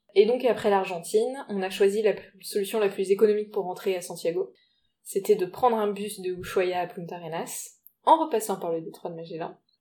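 Dark and mellow in tone, a woman with a medium pitch talks at a fairly quick pace, with big swings in loudness. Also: ordinary pitch variation. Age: 30s. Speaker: travel podcast co-host. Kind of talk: casual chat.

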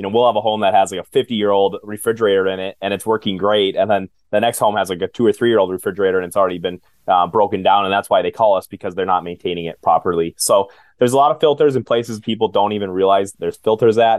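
Speaking very fast with an Upper Midwest accent, a man keeps a fairly low pitch and fairly even intonation. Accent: Upper Midwest American. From central Minnesota, US. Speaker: home maintenance business owner. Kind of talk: interview.

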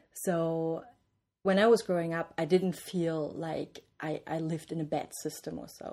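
Moderate pace, fairly even intonation and a German accent over a quiet background. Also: woman. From East Germany, small city near Bavarian border. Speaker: interview guest, East German-born academic. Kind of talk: interview. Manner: hesitant, many fillers.

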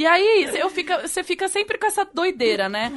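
There is noticeable background noise. Through it, a woman can be heard talking. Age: 30s. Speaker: podcast co-host. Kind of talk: casual chat.

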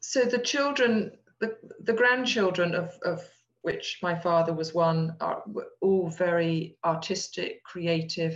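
A woman speaks at a very slow pace in an English accent. Her voice is somewhat breathy and fairly low in pitch, with ordinary pitch variation. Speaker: descendant of a historical figure. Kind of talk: interview.

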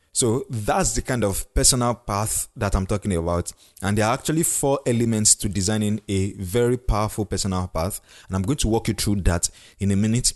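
A man talks at a fairly quick pace with a Nigerian accent, his pitch fairly low and its variation ordinary. The sound is dry and close with no echo, over a quiet background. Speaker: podcast host and leadership coach. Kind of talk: solo podcast monologue. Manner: halting, self-correcting.

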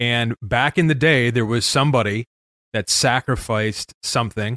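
A man talks in a normal speaking voice at a medium pitch with an American accent and ordinary pitch variation. The sound is dry and close with no echo. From Chicago northwest suburbs. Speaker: entrepreneur and business consultant. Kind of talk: casual interview chat. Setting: remote, in front of a bookshelf at a microphone.

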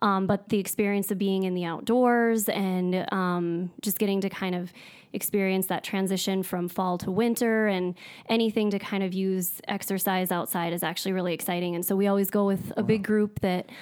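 On a very clean recording with a silent background, a woman with an American accent speaks at a moderate pace in a medium pitch with monotone, flat intonation. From US Upper Midwest (North Dakota). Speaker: dietitian. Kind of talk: casual interview. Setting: studio.

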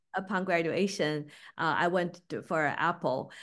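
A woman talks at medium pitch with a Beijing accent. Her pace is moderate, and the background is quiet. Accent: Mandarin Chinese (Beijing) accent in English. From Beijing, China. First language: Mandarin Chinese. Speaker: packaging business owner. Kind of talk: interview. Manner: hesitant, many fillers.

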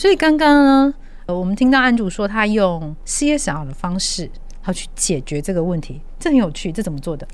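Audible room echo surrounds a woman whose fairly high voice swings very widely in pitch. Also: moderate pace. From Taiwan. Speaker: podcast host. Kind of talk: interview.

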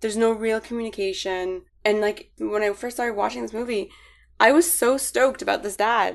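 Fairly high-pitched and moving at a fairly quick pace, a woman talks in an unremarkable speaking voice with ordinary pitch variation. The background is quiet. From Middle East (Bahrain and Lebanon), moved to Canada at 15. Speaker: podcast guest. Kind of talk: casual chat.

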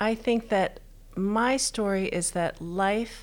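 A woman with an American accent speaks at a very slow pace with lively intonation. The recording is very clean, with a silent background. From Texas. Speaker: pastry chef and bakery owner. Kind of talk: interview. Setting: in person, same room.

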